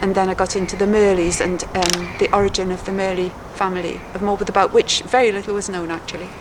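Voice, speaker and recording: Against noticeable background noise, a woman at medium pitch talks at a very fast pace with hardly any pauses and a monotone, flat intonation. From Wales, Hay-on-Wye. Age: 70s. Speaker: author. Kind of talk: interview.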